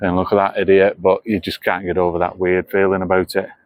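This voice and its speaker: Delivered at a very fast pace, the speech has a monotone, flat intonation. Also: man. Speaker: travel vlogger. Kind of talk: walking vlog narration. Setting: outdoors walking in town.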